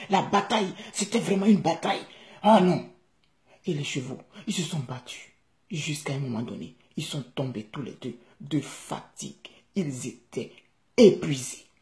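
A woman with an Ivorian accent speaks at a fairly slow pace in a very deep, low pitch, with vocal fry, very wide pitch swings and big swings in loudness. She leaves long, frequent pauses against a quiet background. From Ivory Coast. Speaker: vlogger telling a fable to his country. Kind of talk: bedtime-style storytelling, fable with a moral, addressed to the country. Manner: animated, vivid, conversational storyteller; earnest, passionate, hortatory at the end. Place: home room. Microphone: phone near.

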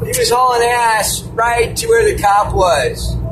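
Loud background noise behind a male speaker. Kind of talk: casual vlog chat. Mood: amused, suspicious of cops. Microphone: phone near.

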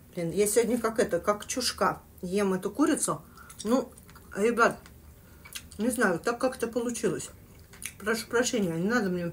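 A woman talks at a moderate pace with ordinary pitch variation and long, frequent pauses. Light background noise sits behind her. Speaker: eating vlogger. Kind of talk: casual vlog chat, storytelling. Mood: animated, telling spooky story. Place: kitchen. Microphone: phone near.

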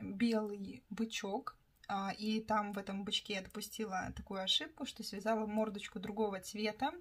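The pace is fairly slow. A somewhat breathy quality runs through the voice. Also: woman. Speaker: craft vlogger, toy knitter. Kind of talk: casual vlog monologue.

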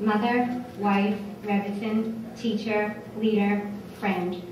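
A woman's fairly even intonation amid noticeable background noise and audible room echo. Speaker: guest. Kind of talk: tribute speech. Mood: warm, smiling. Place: hall. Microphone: podium.

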